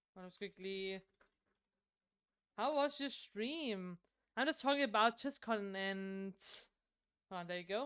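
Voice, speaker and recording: With a Danish accent, a woman talks at a moderate pace in a bright, sharp tone, her pitch varying in an ordinary way. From Denmark. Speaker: streamer. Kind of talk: casual chat. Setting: live stream. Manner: halting, many fillers and restarts.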